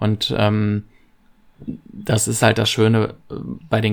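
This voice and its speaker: A man speaks with a fairly low voice. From western Germany, Lower Rhine (Viersen). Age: 30s. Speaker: fan podcast co-host. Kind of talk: casual chat.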